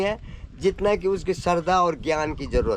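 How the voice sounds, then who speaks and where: A man's voice with ordinary pitch variation. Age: 80s+. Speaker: village elder. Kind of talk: interview. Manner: halting.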